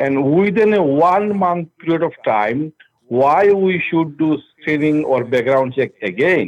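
Pitched fairly high, a man with a plain, everyday voice speaks at a fairly slow pace. His intonation is lively and his loudness very even. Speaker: rideshare driver. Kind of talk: phone complaint. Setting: phone call.

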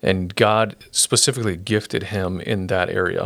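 A man with an American accent speaks with a very deep, low pitch and vocal fry. His pitch variation is ordinary. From Brazil (Sorocaba), US missionary family. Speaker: pastor. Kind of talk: interview testimony. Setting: podcast studio, sharing one mic.

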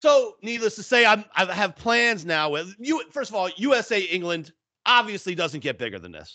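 A man's raised, projected, high-pitched voice at a moderate pace, with lively intonation and big swings in loudness over a quiet background. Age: 50s. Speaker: sports betting podcast co-host. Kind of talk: casual chat.

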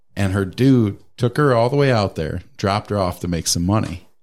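A man with an unremarkable speaking voice talks at a moderate pace, his fairly low pitch varying in an ordinary way. The recording is very clean, with a silent background. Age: 30s. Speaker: podcast guest. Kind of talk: casual chat.

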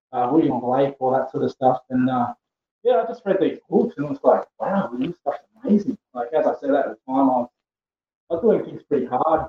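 In an Australian accent, a man with a fairly high pitch talks at a moderate pace with ordinary pitch variation, the sound dry and close with no echo. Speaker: poet. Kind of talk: casual interview. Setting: remote call.

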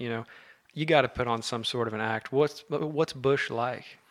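This is an ordinary speaking voice with an American accent. It moves at a moderate pace. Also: man. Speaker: podcast host. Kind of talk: casual chat. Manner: excitable.

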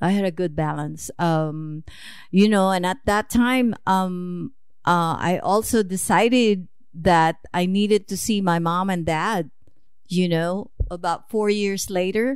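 A woman speaks at a very slow pace in a Filipino accent. Her pitch varies in an ordinary way. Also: medium pitch for a woman, very clean recording, silent background. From Philippines. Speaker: mother of the host, immigrant. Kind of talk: interview.

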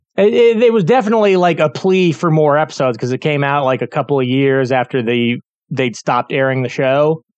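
A man speaks with a fairly high pitch and hardly any pauses. The sound is dry and close with no echo. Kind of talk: casual chat.

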